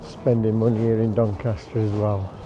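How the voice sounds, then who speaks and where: A man's medium-pitched voice with fairly even intonation, amid noticeable background noise. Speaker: travel vlogger. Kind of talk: casual vlog narration. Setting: outdoors, driving in traffic.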